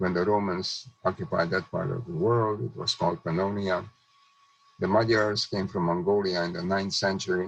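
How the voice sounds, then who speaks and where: Noticeable noise sits in the background. The speaker keeps a moderate pace with ordinary pitch variation. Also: man, very deep, low pitch for a man. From Czechoslovakia (Hungarian-annexed region). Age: 90s. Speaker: Holocaust survivor and speaker. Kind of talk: testimony. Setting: video call.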